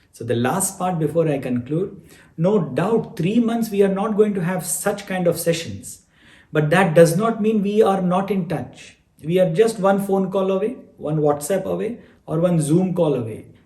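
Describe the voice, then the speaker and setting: A man speaks with a high pitch and a dark, mellow tone. His pace is moderate, and room echo is audible. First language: not English. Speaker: spiritual teacher. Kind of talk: online class Q&A.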